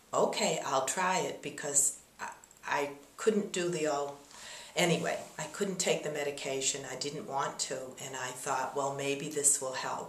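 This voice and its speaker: A woman's very deep, low voice at a fairly slow pace, with ordinary pitch variation, audible room echo and noticeable background noise. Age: 70s. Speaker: acupuncture patient giving testimonial. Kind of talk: testimony. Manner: halting.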